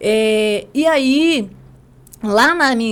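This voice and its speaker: A fairly high-pitched woman's voice full of lively intonation. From rural southern Espírito Santo, Brazil. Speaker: lawyer and women's mentor. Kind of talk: podcast interview, life story.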